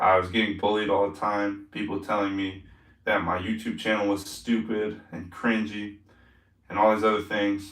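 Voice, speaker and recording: At a moderate pace, a man speaks in a flat monotone at a fairly low pitch, with audible room echo. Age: 20s. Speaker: live streamer, fitness youtuber. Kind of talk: casual live stream chat. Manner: casual, rambling filler-heavy.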